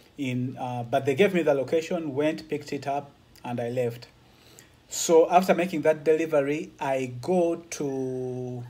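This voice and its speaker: A man's dark, mellow voice carries fairly even intonation. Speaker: truck driver vlogger. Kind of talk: casual vlog chat. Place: home room. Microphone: phone near.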